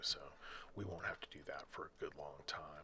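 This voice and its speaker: The quiet voice has a calm tone and a moderate pace. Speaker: gaming video creator. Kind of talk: gameplay commentary. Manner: quiet, calm announcer-like; hesitant, many fillers.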